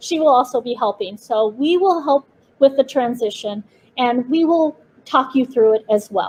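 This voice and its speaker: A high-pitched woman with lively intonation at a moderate pace. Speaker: preschool director. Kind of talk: orientation presentation. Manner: halting.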